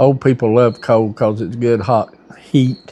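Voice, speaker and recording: In an Appalachian accent, a man with a dark, mellow tone and medium pitch speaks at a moderate pace in a monotone, flat intonation. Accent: Appalachian Southern. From US South, western North Carolina mountains. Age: 60s. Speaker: store owner. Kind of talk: interview.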